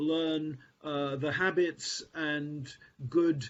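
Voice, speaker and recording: Speaking at a very slow pace, a man with a fairly high voice keeps his intonation fairly even. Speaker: professor. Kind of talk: conference talk. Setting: conference. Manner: halting, many fillers.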